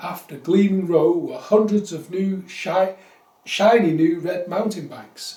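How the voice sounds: Pitch moves in an ordinary way. The delivery is a natural reading voice.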